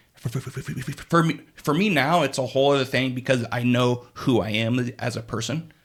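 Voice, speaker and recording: A man's medium-pitched, somewhat breathy voice at a fairly quick pace, with ordinary pitch variation and hardly any pauses. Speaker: podcast co-host. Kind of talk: casual chat. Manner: halting, repeated syllables.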